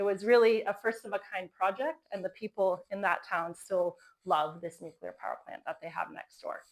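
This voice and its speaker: A woman with a plain, everyday voice speaks at medium pitch in an American accent, with ordinary pitch variation. Her moderate pace has hardly any pauses, and her loudness swings widely. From Florida, US. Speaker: company co-founder giving a talk. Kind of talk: conference talk.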